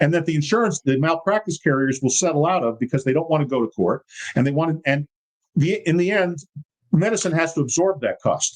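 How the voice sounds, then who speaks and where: A man speaks in a plain, everyday voice at a fairly high pitch. He talks fairly quickly with ordinary pitch variation. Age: 60s. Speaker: congressional candidate. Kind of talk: casual chat.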